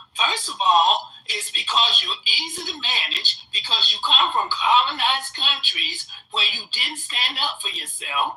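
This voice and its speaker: Noticeable background noise, a fairly slow pace and hardly any pauses. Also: woman. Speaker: commentator. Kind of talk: reaction commentary.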